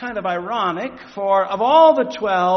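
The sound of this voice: Lively intonation in an unforced reading voice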